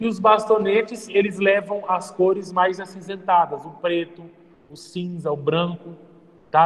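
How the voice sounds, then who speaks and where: A man talks with a high pitch, at a moderate pace and with fairly even intonation. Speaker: physics teacher. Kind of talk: classroom lecture.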